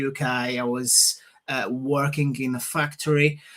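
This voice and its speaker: Over noticeable background noise, a man speaks slowly at a fairly high pitch with flat, monotone intonation. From Portugal. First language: Portuguese. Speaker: property investor. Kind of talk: interview. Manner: hesitant, many fillers.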